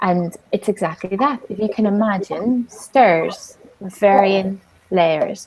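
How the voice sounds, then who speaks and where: Speaking at a very slow pace, a woman uses medium pitch with ordinary pitch variation. Her loudness swings widely, and noticeable background noise is present. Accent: Northern Irish. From Northern Ireland. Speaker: business coach. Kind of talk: online talk.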